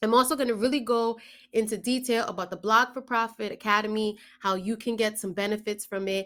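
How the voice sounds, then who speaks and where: Speaking in a New York accent, a woman sounds enthusiastic with a fairly high pitch and a fairly quick pace. The recording is very clean with a silent background. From New York, the Bronx. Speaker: blogger and online business coach. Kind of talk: promotional talk to camera.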